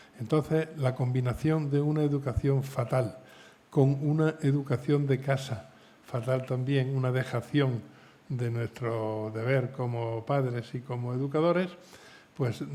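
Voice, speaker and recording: A man's somewhat breathy, dark, mellow voice at medium pitch, fairly slow, with fairly even intonation. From Spain. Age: 70s. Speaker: novelist. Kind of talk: panel discussion.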